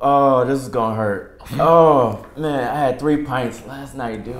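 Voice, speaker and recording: A man speaks very slowly with fairly even intonation, and audible echo fills the room. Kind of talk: comedic sketch dialogue. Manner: weak, pained hungover voice. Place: home room. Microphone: camera far.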